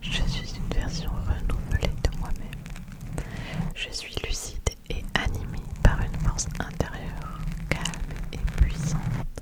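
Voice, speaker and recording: A woman whispers very slowly as noticeable background noise continues around her. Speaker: ASMR creator. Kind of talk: ASMR affirmations. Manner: whispered, soft.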